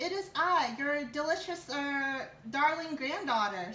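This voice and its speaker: A woman puts on a character voice, pitched high and delivered at a fairly slow pace. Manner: feigning sweetness.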